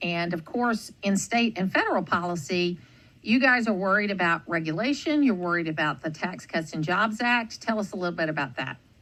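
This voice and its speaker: With a plain, everyday voice at a medium pitch, a woman speaks at a fairly quick pace with lively intonation and hardly any pauses. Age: 60s. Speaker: radio host. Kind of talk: radio interview.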